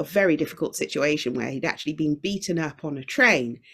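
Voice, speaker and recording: A woman speaks with a British accent at a moderate pace. Her pitch swings very widely. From UK, Jamaican heritage. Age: 50s. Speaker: singer-songwriter and podcast producer. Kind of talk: casual interview chat. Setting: video call from China.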